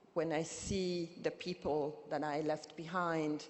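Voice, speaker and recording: A woman speaks in a Burundian accent. Her pace is very slow. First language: Kirundi. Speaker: activist and poet, keynote speaker. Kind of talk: keynote speech. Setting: conference stage with audience. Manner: impassioned.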